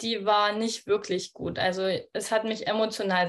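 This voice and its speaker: Her medium-pitched voice moves at a moderate pace in a flat monotone, and the woman is recorded very cleanly against a silent background. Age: 20s. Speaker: midwife, coaching client. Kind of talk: casual interview.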